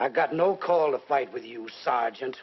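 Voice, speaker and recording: A man puts on a character voice that is raspy, at medium pitch. He talks at a moderate pace. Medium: short film.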